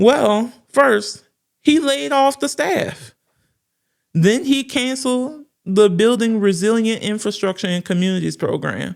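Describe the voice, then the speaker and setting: In a New Orleans accent, the speaker talks at a fairly slow pace with very wide pitch swings, and the recording is very clean with a silent background. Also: woman. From New Orleans, Louisiana. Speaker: political news commentator. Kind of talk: political commentary monologue.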